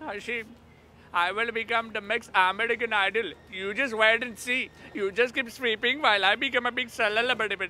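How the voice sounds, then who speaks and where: A man with a high pitch speaks in fairly even intonation, the sound dry with no echo. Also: moderate pace. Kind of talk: scripted comedy dialogue. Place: shop.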